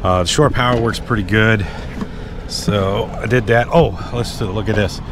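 Noticeable background noise sits under a dry sound with no echo as the speaker keeps a moderate pace and fairly even intonation. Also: man. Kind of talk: casual vlog chat. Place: street. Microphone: phone near.

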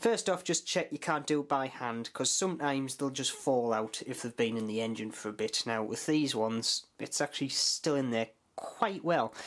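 The speaker keeps a moderate pace with hardly any pauses. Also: quiet background. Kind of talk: tutorial. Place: home room.

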